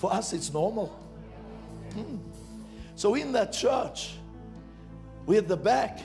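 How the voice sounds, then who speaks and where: Over clear background music, a man speaks at a fairly slow pace with an energetic tone. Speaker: preacher, church minister; preacher. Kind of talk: sermon preached to a congregation. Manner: energetic, emphatic, conversational. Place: stage. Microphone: handheld.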